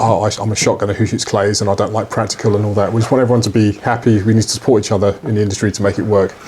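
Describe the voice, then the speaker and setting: A man talks very fast in a fairly low, monotone voice with a British accent, leaving hardly any pauses. Noticeable background noise sits behind him. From UK. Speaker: podcast co-host, shooting business owner. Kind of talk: casual podcast chat. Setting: studio with microphones.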